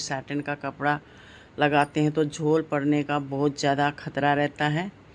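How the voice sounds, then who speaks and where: Very slowly and in a flat monotone, a woman with a very deep, low voice speaks on a very clean recording with a silent background. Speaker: devotional craft YouTuber. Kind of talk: sewing tutorial. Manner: slow, step-by-step.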